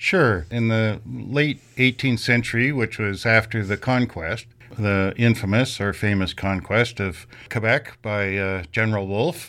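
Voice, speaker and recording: The tone is bright and sharp, with a Canadian accent. The pace is fairly slow, and the pitch varies in an ordinary way. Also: man, fairly low pitch for a man. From Canada, Kingston area, Ontario. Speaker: PhD student in history. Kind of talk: interview.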